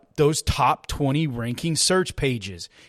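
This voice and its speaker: A man with a Texan accent speaks in an animated tone with lively intonation. The recording is very clean, with a silent background. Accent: Texan American. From Texas. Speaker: business marketing podcaster. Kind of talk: casual solo podcast tutorial.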